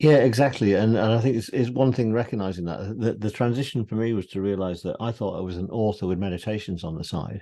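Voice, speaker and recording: A man with a British accent talks at a very fast pace with hardly any pauses, over a quiet background. His voice is fairly low-pitched, with a dark, mellow tone and ordinary pitch variation. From UK. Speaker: meditation teacher and author. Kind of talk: interview conversation.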